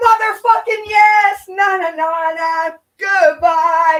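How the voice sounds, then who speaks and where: A loud, animated voice with ordinary pitch variation. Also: woman. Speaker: YouTube commentary streamer. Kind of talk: casual livestream chat.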